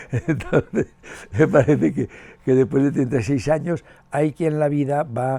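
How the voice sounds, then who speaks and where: Somewhat breathy and dark, mellow in tone, a man speaks fairly slowly at a medium pitch. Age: 70s. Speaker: education professor and author. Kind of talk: interview. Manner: halting, with many fillers and repetitions.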